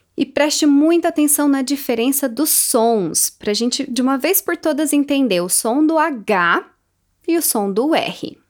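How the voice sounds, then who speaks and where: Lively in intonation, a woman speaks fairly slowly at a high pitch on a very clean recording with a silent background. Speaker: English teacher podcaster. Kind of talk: tutorial. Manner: slow, repeated word drills.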